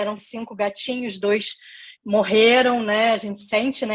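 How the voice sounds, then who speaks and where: A woman speaks with a Rio de Janeiro accent against a quiet background. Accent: carioca. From Brazil, Rio de Janeiro state (Niterói). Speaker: career and leadership consultant, lecturer. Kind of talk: online lecture / masterclass.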